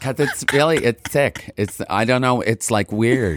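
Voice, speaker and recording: With ordinary pitch variation, a man talks over noticeable background noise. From Montreal, Quebec. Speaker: rock singer. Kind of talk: casual chat. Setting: studio.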